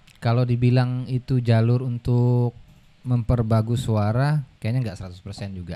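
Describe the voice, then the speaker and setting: This man has a dark, mellow tone and a fairly even intonation, speaking at a moderate pace with big swings in loudness. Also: medium pitch for a man. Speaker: Quran reciter (qari). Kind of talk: casual podcast interview.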